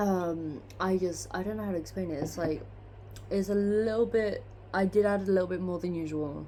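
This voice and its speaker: A woman talks at a moderate pace, and the room echo is audible. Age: 20s. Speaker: vlogger. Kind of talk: casual chat. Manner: rambling, hesitant with many fillers.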